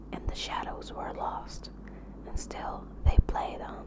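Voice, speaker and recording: A woman whispers in a calm tone at a very slow pace over noticeable background noise. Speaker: ASMR artist. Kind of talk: audiobook reading. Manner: whispered; soft-spoken, calm.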